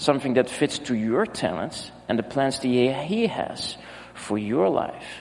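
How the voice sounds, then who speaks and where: Lively intonation marks a man's medium-pitched speech, delivered at a fairly slow pace with a Dutch accent. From Netherlands. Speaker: pastor. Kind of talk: sermon. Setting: church.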